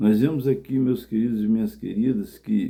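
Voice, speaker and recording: A man's medium-pitched voice with a dark, mellow tone, fairly even intonation and a fairly slow pace. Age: 60s. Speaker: evangelist preacher. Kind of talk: sermon.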